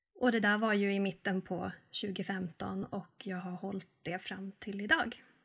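A woman has an ordinary speaking voice at a medium pitch with fairly even intonation. She goes at a fairly slow pace, with big swings in loudness. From northern Sweden, Arvidsjaur. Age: 30s. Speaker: sustainability and frugal-living influencer. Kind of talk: podcast interview.

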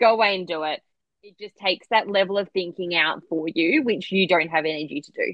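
With an Australian accent, a woman talks at a fairly quick pace, her fairly low pitch showing ordinary variation. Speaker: clinical nutritionist. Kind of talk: casual interview chat about personal journey. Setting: video call, remote from Australia.

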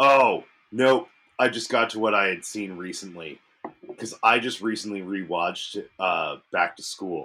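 Speaking at a fairly slow pace, a man uses lively intonation and a fairly low pitch. His tone is bright and sharp. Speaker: beer review podcast host. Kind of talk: casual chat.

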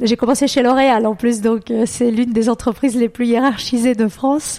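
A woman's fairly high voice holds fairly even intonation against noticeable background noise. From Brazil. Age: 40s. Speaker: travel agency founder. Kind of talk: interview. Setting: home office.

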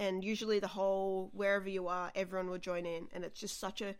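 In an Australian accent, a woman talks at a moderate pace and a medium pitch. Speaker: comedian. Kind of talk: casual chat. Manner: animated.

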